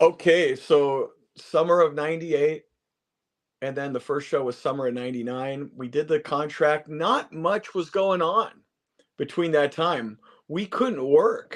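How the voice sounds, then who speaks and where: In a quiet background, a man with an unremarkable speaking voice talks at a fairly slow pace with ordinary pitch variation. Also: fairly high pitch for a man. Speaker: wrestling commentator; charity auctioneer. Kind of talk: interview answer.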